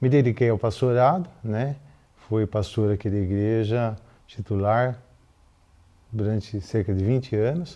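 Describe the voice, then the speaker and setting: With a dark, mellow tone, a man speaks at a fairly slow pace with ordinary pitch variation. He leaves long, frequent pauses. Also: medium pitch for a man. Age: 70s. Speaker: retired pediatrician and former pastor. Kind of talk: documentary interview.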